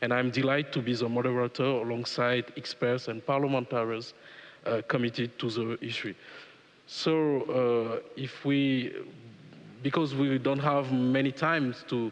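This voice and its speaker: Monotone, flat intonation marks this man's speech in a French accent. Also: medium pitch for a man, moderate pace. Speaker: panel moderator, law professor, former politician. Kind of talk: panel moderation. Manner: halting, many fillers.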